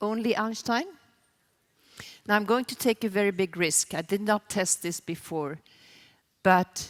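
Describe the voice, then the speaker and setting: Recorded very cleanly against a silent background, a woman with a Swedish accent speaks with ordinary pitch variation in a dry, close sound with no echo. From Sweden. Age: 60s. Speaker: sustainability consultant. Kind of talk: conference keynote.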